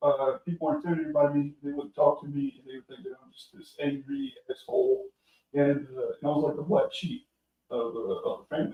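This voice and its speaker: His loudness rises and falls sharply. The man's delivery is fairly quick. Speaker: military veteran. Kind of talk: casual chat.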